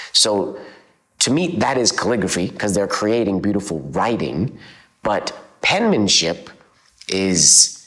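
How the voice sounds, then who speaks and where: A man with a Canadian accent talks fairly slowly at a fairly low pitch. His intonation is lively, with long, frequent pauses over a quiet background. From central Alberta, Canada. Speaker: calligrapher; interviewee. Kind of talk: interview; interview answer. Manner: casual, with fillers. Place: home room. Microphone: lapel.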